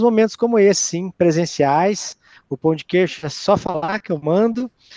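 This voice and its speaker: The sound is dry and close with no echo. A man in a Minas Gerais accent talks with a dark, mellow tone and lively intonation. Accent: Minas Gerais Brazilian Portuguese. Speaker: university professor, speaker. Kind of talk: closing remarks at online talk.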